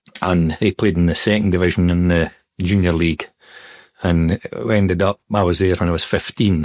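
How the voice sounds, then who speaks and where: In a Scottish accent, a man speaks at a very deep, low pitch in a flat monotone, his loudness very even and the sound dry and close with no echo. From Scotland, Perthshire. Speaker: retired footballer. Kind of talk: interview. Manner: hesitant, filler-heavy.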